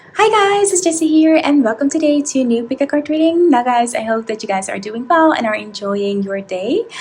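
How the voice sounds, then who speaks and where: A high-pitched woman at a moderate pace with very wide pitch swings and hardly any pauses, over noticeable background noise. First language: not English. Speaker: tarot reader. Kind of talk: tarot reading to camera.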